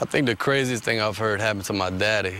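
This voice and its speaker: Noticeable background noise sits behind this speaker. He is a man with a fairly low pitch. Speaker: local resident interviewee. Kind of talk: casual interview.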